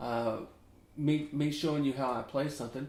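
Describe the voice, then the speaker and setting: In a room with audible echo, a man talks in a fairly high pitch. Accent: American. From US South, Memphis, Tennessee. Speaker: ukulele teacher. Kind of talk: tutorial, casual chat. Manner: casual, rambling conversational.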